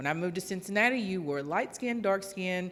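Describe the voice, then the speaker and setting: In a Southern US accent, a woman speaks at a medium pitch with ordinary pitch variation. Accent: Southern drawl, noticeable. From West Virginia. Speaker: audience member asking a question. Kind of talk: audience question at a public talk.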